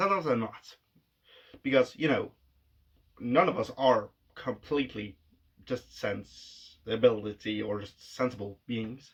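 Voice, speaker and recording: This voice has a non-native accent and a fairly slow pace, with ordinary pitch variation. There are big swings in loudness and long, frequent pauses. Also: man, medium pitch for a man. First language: not English. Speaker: vlogger. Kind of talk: casual monologue.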